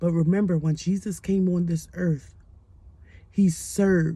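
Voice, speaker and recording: Somewhat breathy and dark, mellow in tone, a woman speaks at a fairly low pitch and a fairly slow pace with fairly even intonation. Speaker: life coach. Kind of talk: motivational talk. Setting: at home late at night. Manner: quiet.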